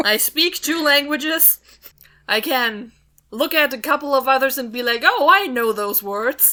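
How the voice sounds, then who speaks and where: Raised and projected, a woman's high-pitched voice has a bright, sharp tone, ordinary pitch variation and a fairly slow pace. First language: not English. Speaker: podcast co-host. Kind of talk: casual chat.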